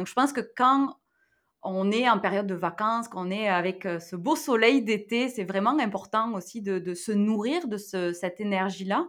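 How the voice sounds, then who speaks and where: Her intonation is lively, and her pitch sits in the medium range for a woman. She has a plain, everyday voice and speaks at a fairly slow pace. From southwest France, near Toulouse. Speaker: digital wellbeing expert and entrepreneur. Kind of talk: interview.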